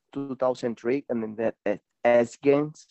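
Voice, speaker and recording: A man with a Spanish accent, at a fairly slow pace. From Venezuela. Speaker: professional BMX racer. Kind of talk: casual interview. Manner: halting.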